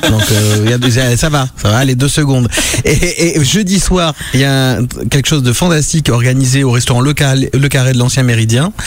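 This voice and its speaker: Noticeable background noise sits behind a man speaking at a medium pitch and moderate pace. His loudness stays very even, with ordinary pitch variation. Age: 40s. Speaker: radio host. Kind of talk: casual chat. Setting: studio. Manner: animated.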